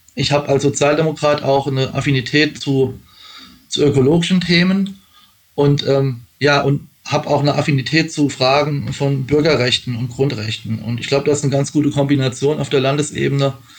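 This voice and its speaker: At a fairly quick pace, a man speaks in a fairly high, somewhat breathy voice with fairly even intonation. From Rheinhessen, Rhineland-Palatinate. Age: 40s. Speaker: election candidate. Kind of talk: interview. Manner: hesitant, many fillers.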